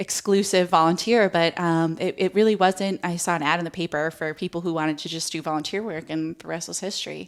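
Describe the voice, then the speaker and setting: With an American accent and an unremarkable speaking voice, a woman talks at a fairly quick pace and fairly low pitch, with fairly even intonation, hardly any pauses and big swings in loudness. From Connecticut, New Haven. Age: 30s. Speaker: community volunteer and advocate. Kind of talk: interview testimony. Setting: podcast.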